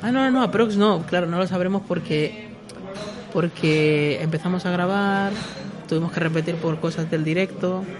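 At a moderate pace, a man speaks at a high pitch with ordinary pitch variation and very even loudness. There is noticeable background noise and audible room echo. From Peru. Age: 20s. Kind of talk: casual chat.

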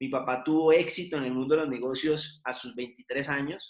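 A man speaks at a fairly slow pace. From Colombia, Cali. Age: 30s. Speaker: business administrator, seminar speaker. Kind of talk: online seminar talk. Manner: halting, with many fillers and repetitions.

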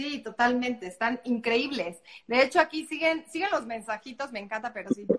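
In a central Mexican accent, the speaker moves at a moderate pace with lively intonation. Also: woman, high pitch for a woman. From Mexico, Puebla. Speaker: online show host. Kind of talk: live interview. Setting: live stream.

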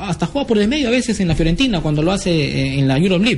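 A man with a high pitch rushes along at a very fast pace, his voice swinging very widely in pitch. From Peru, Lima. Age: 20s. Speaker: sports radio host. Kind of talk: sports talk radio. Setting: radio studio.

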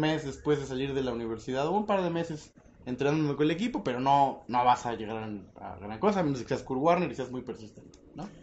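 A man speaks in a Mexican accent with lively intonation. His pace is fairly quick. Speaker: podcast host. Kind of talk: casual chat. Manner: animated.

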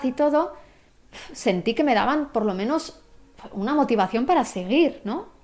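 Speaking at a fairly slow pace, a woman uses a plain, everyday voice with lively intonation. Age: 20s. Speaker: photographer and cancer patient. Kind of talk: interview testimony.

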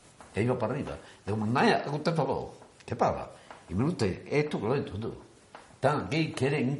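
A man at a fairly high pitch, with lively intonation, a fairly quick pace and long, frequent pauses, amid audible room echo and noticeable background noise. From Spain, Andalusia (Antequera). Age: 80s+. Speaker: miniature float builder, brotherhood member. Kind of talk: interview.

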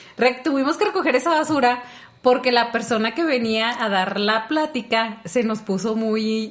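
At a moderate pace, a woman uses an ordinary speaking voice, fairly high in pitch, with ordinary pitch variation. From rural Mexico. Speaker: podcast co-host. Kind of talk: casual chat.

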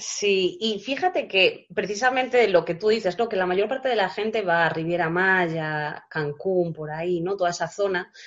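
The speaker talks at a moderate pace with ordinary pitch variation and hardly any pauses. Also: woman, medium pitch for a woman. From Galicia, Spain. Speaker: travel blogger. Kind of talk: interview. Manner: hesitant, with frequent repetitions.

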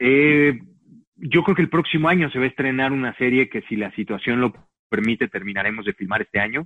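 A man talks in an unremarkable speaking voice. His pace is moderate, with ordinary pitch variation. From Mexico. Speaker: actor. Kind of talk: interview.

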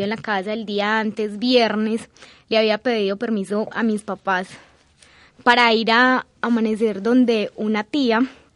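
Against a quiet background, a woman talks at a fairly slow pace in a monotone, flat delivery. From Colombia, Antioquia (San Rafael). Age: 20s. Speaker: agricultural engineer. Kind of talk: personal testimony interview. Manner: hesitant, many filler sounds.

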